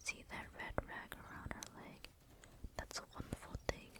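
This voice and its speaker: Through noticeable background noise comes whispering at a fairly slow pace. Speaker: ASMR creator. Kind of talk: whispered ASMR book reading. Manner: whispered, soft.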